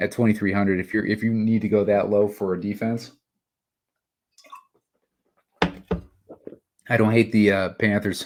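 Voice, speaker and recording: Using a put-on character voice, a raspy man with a fairly low pitch speaks at a moderate pace in a monotone, flat intonation, leaving long, frequent pauses. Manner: audible swallowing.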